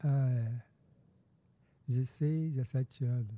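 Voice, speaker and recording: A man with a fairly high pitch and a dark, mellow, somewhat breathy tone speaks with ordinary pitch variation in a dry, close sound with no echo. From Brazil, Niterói (Rio de Janeiro state). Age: 50s. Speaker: pastor. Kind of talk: casual chat.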